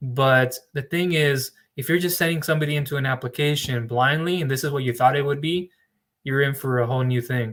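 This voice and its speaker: This man has an unremarkable speaking voice, fairly high in pitch, moving at a fairly quick pace with fairly even intonation. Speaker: business loan broker trainer. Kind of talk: live training webinar.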